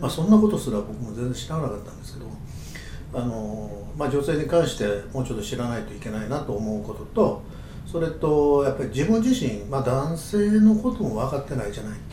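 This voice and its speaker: A man talks fairly quickly with very wide pitch swings. Audible room echo and noticeable background noise fill the recording. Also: medium pitch for a man. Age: 70s. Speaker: aromatherapist and podcast co-host. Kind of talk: casual chat. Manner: halting, many fillers.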